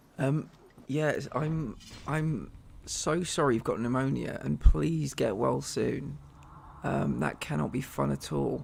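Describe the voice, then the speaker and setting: In an English accent, a man talks at a very slow pace. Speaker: gaming streamer. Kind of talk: casual live-stream chat. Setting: live stream.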